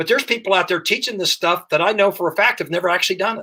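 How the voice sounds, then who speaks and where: A man with an American accent projects a raised voice, bright and sharp in tone, with ordinary pitch variation. The recording is very clean, the background silent. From US Midwest, Dayton, Ohio. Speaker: firearms instructor. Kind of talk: podcast interview.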